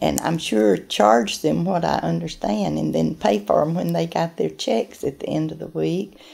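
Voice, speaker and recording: With a very deep, low pitch and a dark, mellow tone, a woman speaks at a moderate pace with hardly any pauses and very wide pitch swings. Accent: Southern US. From US South, Acworth, Georgia; Georgia. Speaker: oral history interviewee; interviewee. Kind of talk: interview. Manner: halting. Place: office.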